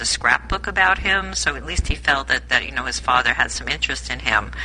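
Fairly quick talking with noticeable noise in the background. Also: woman. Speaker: book club participant. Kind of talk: casual book club discussion. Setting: phone or online group call.

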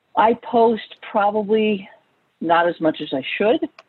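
At a very slow pace, a woman of medium pitch speaks with a slight New York accent. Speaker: author and family therapist. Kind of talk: online group interview.

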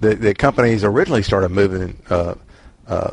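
The speaker has a Southern US accent and fairly even intonation. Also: man. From Mississippi. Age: old. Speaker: book group member. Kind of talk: book club discussion. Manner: halting.

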